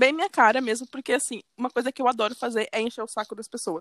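Ordinary pitch movement from a woman with a fairly high voice, the sound dry and close with no echo. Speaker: podcast co-host. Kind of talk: casual chat.

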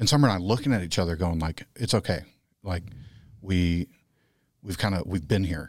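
A man with a Texan accent talks in a very deep, low voice with ordinary pitch variation, leaving long, frequent pauses. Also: very clean recording, silent background. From Texas. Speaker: podcast guest. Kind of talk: casual chat.

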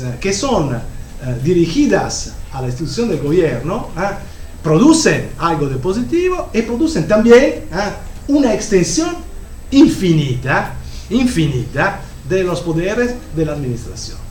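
A man with an Italian accent, high pitch and very wide pitch swings, fairly slow pace with long, frequent pauses, audible room echo and noticeable background noise. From Italy. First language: Italian (speaking Spanish). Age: 50s. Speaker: professor. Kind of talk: lecture. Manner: halting.

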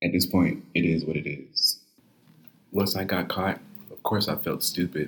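A man with an American accent and a very deep, low pitch speaks at a moderate pace with vocal fry and long, frequent pauses. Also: ordinary pitch variation. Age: 20s. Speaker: podcaster, college student. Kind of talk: personal confession monologue.

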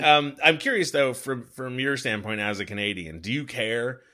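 A man talking at a moderate pace. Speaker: podcast host. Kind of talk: hockey podcast recap and chat. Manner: conversational, fluent, wry.

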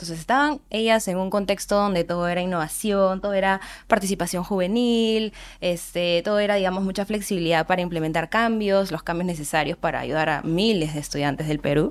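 Over a silent background on a very clean recording, a woman speaks at a fairly quick pace. She has an unremarkable speaking voice. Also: medium pitch for a woman, ordinary pitch variation. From Peru, Andahuaylas (Apurímac). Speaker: nonprofit board member. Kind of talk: podcast interview.

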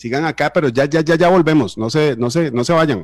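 A man talks at a very fast pace and a fairly high pitch with ordinary pitch variation. The sound is dry and close, with no echo. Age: 30s. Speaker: radio host. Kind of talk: radio interview.

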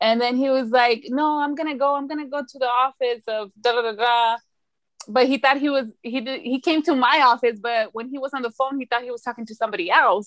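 In a dry, close recording with no echo, a woman with a high-pitched voice talks at a fairly quick pace, with fairly even intonation and big swings in loudness. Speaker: podcast co-host. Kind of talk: casual chat. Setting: video call.

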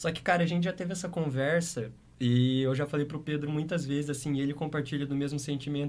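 Somewhat breathy and fairly high-pitched, a man talks at a very fast pace with fairly even intonation. Room echo is audible. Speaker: DJ and music producer. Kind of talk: casual interview.

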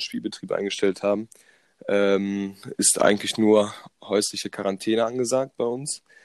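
A man with a fairly low pitch speaks at a moderate pace in an ordinary speaking voice. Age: 20s. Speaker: sports science student. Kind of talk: casual chat.

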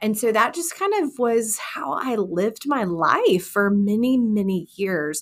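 The woman has an unremarkable speaking voice, medium in pitch, and she talks at a fairly slow pace. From Texas. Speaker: women's ministry leader and author. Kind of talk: interview, personal testimony.

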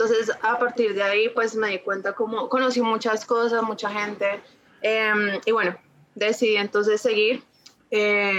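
This woman has an ordinary speaking voice with a fairly high pitch. She talks at a moderate pace with fairly even intonation. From Colombia, Ibagué. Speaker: feminist theology content creator. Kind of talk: casual interview chat.

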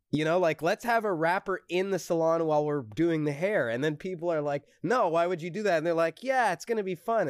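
High in pitch and fairly quick, a man speaks with lively intonation and hardly any pauses in a dry, close sound with no echo and a very clean recording over a silent background. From Montreal, Quebec (anglophone). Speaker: musician. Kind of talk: casual chat. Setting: group call.

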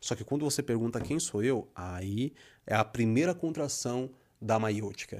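A man's medium-pitched voice at a fairly slow pace, with ordinary pitch variation, on a very clean recording with a silent background. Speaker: poet and writer. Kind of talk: casual chat.

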